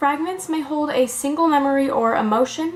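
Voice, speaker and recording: A woman talks at a fairly quick pace in a high pitch. Music plays in the background. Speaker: mental health educator. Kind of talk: educational talk to camera. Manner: monotone.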